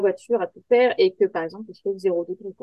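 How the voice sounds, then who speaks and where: An ordinary speaking voice from a woman, fairly high in pitch, at a fairly quick pace with ordinary pitch variation. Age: 30s. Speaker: software tester and rally navigator. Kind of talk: interview.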